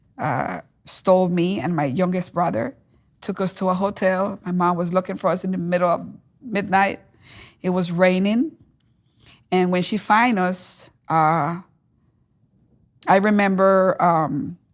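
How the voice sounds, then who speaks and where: With a Spanish accent, a woman speaks with ordinary pitch variation and long, frequent pauses on a very clean recording with a silent background. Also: medium pitch for a woman, fairly slow pace. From Caribbean island, Spanish-speaking. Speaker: testimony guest. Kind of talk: testimony interview. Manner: halting, frequent fillers.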